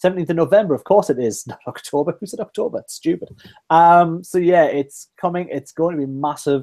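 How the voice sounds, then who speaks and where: A man with a Geordie accent speaks at a fairly quick pace in a high voice, his dark, mellow tone swinging widely in loudness. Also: ordinary pitch variation. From northeast England, Newcastle. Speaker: podcast host. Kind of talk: casual chat.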